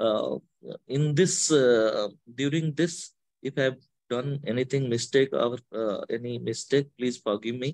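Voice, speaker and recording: A man with an Odisha accent speaks at a fairly slow pace, with medium pitch and ordinary pitch variation. The sound is dry and close, with no echo. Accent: Indian (Odia) English. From Odisha, India. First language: Odia. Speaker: devotional speaker. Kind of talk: spiritual talk. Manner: halting.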